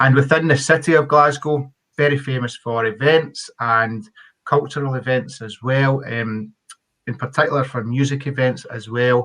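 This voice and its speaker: Delivered at a moderate pace, the speech has a Scottish accent and fairly even intonation. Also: man, medium pitch for a man. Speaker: university engineering faculty representative. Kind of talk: webinar presentation. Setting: online webinar.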